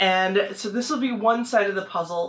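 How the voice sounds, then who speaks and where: This is a woman's voice. She talks at a moderate pace. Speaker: vlogger. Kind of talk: casual haul video chat. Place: home room. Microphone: camera far.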